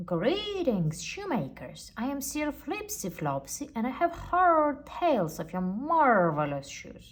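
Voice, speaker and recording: In a put-on character voice, a woman speaks high-pitched and fairly slowly, her pitch swinging very widely. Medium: read story. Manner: bellowing, hearty.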